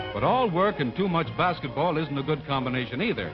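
Over clear music in the background, a man with a fairly high pitch speaks at a very fast pace with lively intonation. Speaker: newsreel narrator. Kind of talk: newsreel narration. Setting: vintage 1940s film recording. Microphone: old recording.

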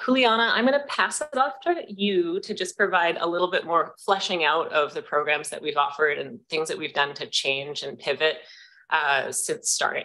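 At a moderate pace, the voice has a bright, sharp tone and very wide pitch swings. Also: woman. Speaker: executive director of arts nonprofit, former teacher; former teacher. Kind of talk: delegation presentation to council committee. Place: meeting room.

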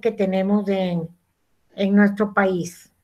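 A woman talks fairly slowly. Behind her, all is quiet. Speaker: school teacher. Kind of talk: online class lesson. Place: home room. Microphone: video call.

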